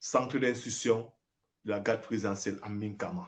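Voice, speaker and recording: A man talks at a fairly slow pace. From Cameroon. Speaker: former soldier. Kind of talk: live video address. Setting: livestream. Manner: emphatic.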